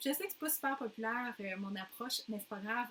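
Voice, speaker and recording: The speaker has a Quebec accent and fairly even intonation. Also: woman. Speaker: postnatal fitness coach. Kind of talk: casual talk.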